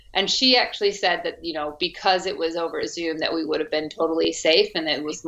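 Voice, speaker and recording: Against a quiet background, a woman with an American accent talks at a moderate pace. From US, Arizona. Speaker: actress. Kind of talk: interview.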